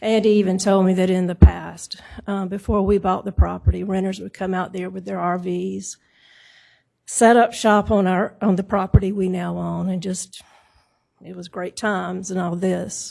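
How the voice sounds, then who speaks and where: A soft-spoken woman shows big swings in loudness on a very clean recording with a silent background. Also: moderate pace. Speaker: property owner speaking at zoning hearing. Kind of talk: public hearing testimony. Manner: soft-spoken, low.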